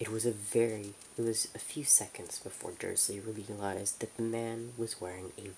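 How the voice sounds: The voice here is a natural reading voice.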